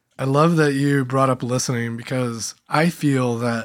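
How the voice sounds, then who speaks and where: A man with a normal speaking voice talks at a moderate pace and medium pitch with fairly even intonation, in a very clean recording with a silent background. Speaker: podcast host and meeting facilitator. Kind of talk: interview conversation.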